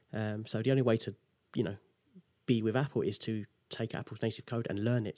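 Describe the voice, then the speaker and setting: In an English accent, a man speaks at a medium pitch and a fairly quick pace with a dark, mellow tone and fairly even intonation, on a very clean recording with a silent background and a dry, close sound with no echo. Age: 20s. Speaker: app developer. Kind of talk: interview.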